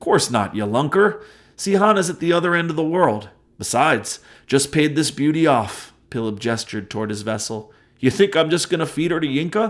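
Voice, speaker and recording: Gruff, put-on character voice from a man, fairly high-pitched and fairly quick, on a very clean recording with a silent background. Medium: read story. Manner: gruff, playful.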